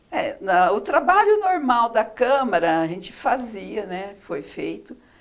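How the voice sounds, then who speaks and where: A woman talks at a very slow pace, her loudness swinging widely. Noticeable background noise sits behind her. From Brazil, interior of São Paulo state (Araçatuba). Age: 60s. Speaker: former city councillor, retired chemist. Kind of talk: interview.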